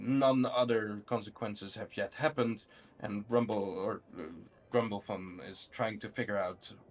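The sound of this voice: Text delivered in an unforced reading voice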